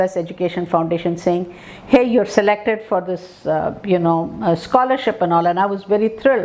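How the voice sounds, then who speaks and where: With noticeable background noise behind her, a woman speaks at medium pitch and a moderate pace with ordinary pitch variation. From India. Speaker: professor of speech and hearing sciences. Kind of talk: interview storytelling. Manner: many fillers and hesitations.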